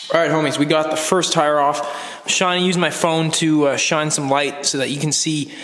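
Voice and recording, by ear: In a room with audible echo, a man with a fairly high, raspy voice and a fairly bright tone speaks with ordinary pitch variation.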